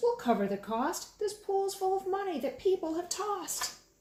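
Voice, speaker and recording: Using a squeaky put-on character voice with extremely high pitch, a woman speaks at a moderate pace with lively intonation and a slight echo. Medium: read story.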